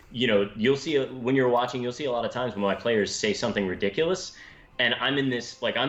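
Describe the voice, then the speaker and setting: Fairly quick delivery from a man, a normal speaking voice with ordinary pitch variation. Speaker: game master. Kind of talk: casual chat on live stream.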